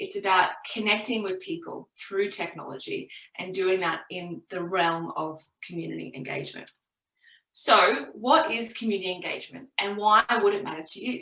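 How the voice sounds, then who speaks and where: Speaking at a moderate pace in an Australian accent, a woman with a medium pitch and a bright, sharp tone uses lively intonation and big swings in loudness. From Australia (Brisbane). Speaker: community engagement professional, careers speaker. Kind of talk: careers talk presentation. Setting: virtual event, online presentation.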